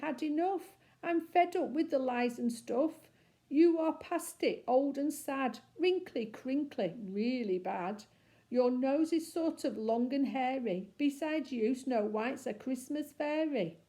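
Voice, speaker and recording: In a put-on character voice, a woman speaks at a fairly slow pace with a high, shaky pitch and lively intonation. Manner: trembling, fed up.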